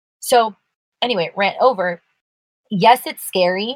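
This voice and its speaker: Recorded with a dry, close sound and no echo, a normal speaking voice with an American accent shows ordinary pitch variation. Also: woman. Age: 20s. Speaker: podcast co-host. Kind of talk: casual chat.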